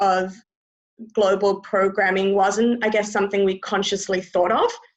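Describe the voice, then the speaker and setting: This woman has an Australian accent. She speaks at a moderate pace. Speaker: community house resident. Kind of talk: webinar presentation. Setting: video call from bedroom.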